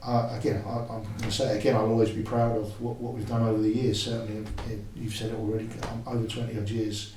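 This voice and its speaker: A man talks very fast in a flat monotone at medium pitch. Audible room echo and noticeable background noise surround his voice. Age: 60s. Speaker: football coach. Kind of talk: podcast interview.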